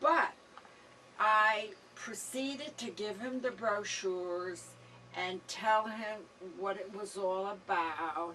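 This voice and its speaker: A woman speaking at a very slow pace with long, frequent pauses, ordinary pitch variation and noticeable background noise. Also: medium pitch for a woman. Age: 70s. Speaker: senior citizen campaign worker. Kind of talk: testimony.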